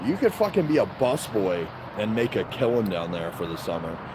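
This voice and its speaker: Amid noticeable background noise, a man with an American accent talks at a moderate pace and a fairly low pitch, using lively intonation. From Baltimore, Maryland (US). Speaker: livestreamer. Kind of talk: casual livestream chat. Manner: casual, rambling with fillers.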